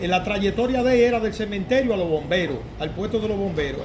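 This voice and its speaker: A man's high voice at a very fast pace, with ordinary pitch variation, audible room echo and noticeable background noise. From Dominican Republic, San Francisco de Macorís. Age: 60s. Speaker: interviewee, Dominican immigrant. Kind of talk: interview. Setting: mechanic's workshop.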